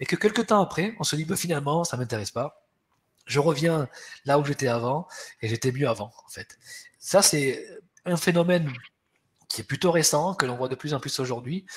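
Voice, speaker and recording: A man speaks at a fairly high pitch and a moderate pace, somewhat breathy. His intonation is lively, with long, frequent pauses. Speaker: HR webinar host. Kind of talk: webinar presentation. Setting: webinar. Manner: hesitant, many repetitions.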